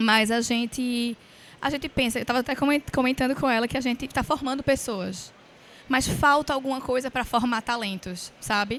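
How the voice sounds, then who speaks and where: Here a woman talks at a moderate pace. Her high pitch holds fairly even intonation. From Pernambuco, Brazil. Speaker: innovation center representative, panelist. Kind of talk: panel discussion. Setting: stage with audience at forum.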